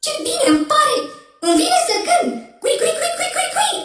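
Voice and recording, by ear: A put-on character voice with a fairly bright tone and big pitch swings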